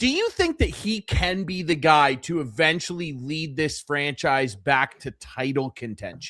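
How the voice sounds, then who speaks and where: With hardly any pauses, a man speaks fairly slowly at a fairly high pitch in a bright, sharp tone with ordinary pitch variation, in a dry, close sound with no echo. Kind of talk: podcast host interview question.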